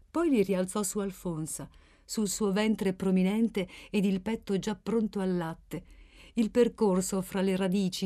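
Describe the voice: Plain reading aloud, intonation fairly even throughout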